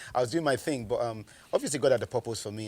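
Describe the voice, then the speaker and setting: A man at medium pitch, talking at a very fast pace. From Nigeria (Lagos). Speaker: publicist and rapper. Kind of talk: testimony. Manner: halting.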